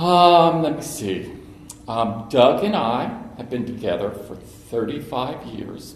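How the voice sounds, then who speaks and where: With big swings in loudness and lively intonation, a man with an American accent and medium pitch speaks at a very slow pace amid noticeable background noise and audible room echo. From Cincinnati, Ohio (US Midwest). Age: 60s. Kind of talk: personal talk to an audience.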